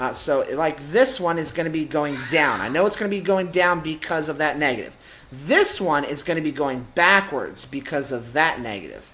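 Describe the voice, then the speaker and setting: A man with an unremarkable speaking voice talks at a moderate pace. His pitch sits fairly high, with ordinary pitch variation. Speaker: math teacher. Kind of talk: tutorial.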